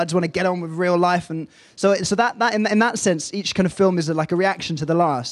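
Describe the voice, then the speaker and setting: Speaking with an English accent, a man talks at a very fast pace in a high pitch with fairly even intonation. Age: young. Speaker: film director. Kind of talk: panel discussion. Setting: stage with audience.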